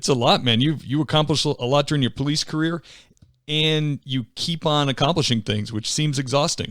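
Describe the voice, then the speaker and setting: Recorded very cleanly against a silent background, a man with a slight Boston accent speaks fairly quickly at a fairly high pitch with ordinary pitch variation. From near Boston. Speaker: podcast host. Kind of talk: interview.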